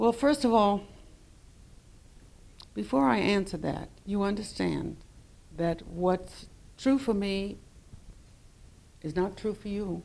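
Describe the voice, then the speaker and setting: A woman with a New York accent talks at a very slow pace, with long, frequent pauses. Her intonation is lively. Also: medium pitch for a woman. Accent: New York City. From New York City. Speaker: poet answering audience questions.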